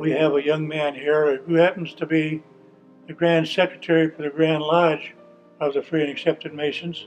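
With faint music in the background, a man speaks at a moderate pace in an American accent, his fairly high voice flat and monotone. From Indiana, USA. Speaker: Freemason, past master of a lodge. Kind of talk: interview answer. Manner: candid, reflective. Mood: proud, reflective.

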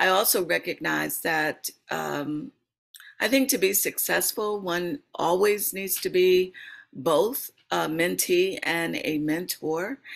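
Against a quiet background, the speaker talks at a very slow pace. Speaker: professor and mentor. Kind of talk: webinar panel discussion. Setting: video call. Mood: calm, reflective. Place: home room.

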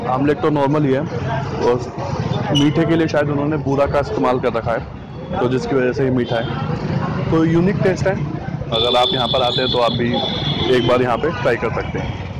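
Loud background noise sits under a dry sound with no echo, as the voice moves at a moderate pace with ordinary pitch variation. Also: man. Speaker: food vlogger. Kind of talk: casual vlog chat. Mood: cheerful, joking.

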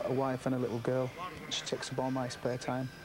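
A man is speaking. Music plays in the background. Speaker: boxing trainer or manager. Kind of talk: interview clip. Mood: warm, relaxed. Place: home room.

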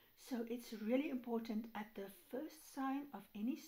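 A woman speaking at a fairly slow pace, her tone dark and mellow, with ordinary pitch variation. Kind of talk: casual vlog chat, advice. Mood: earnest, caring. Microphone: phone near.

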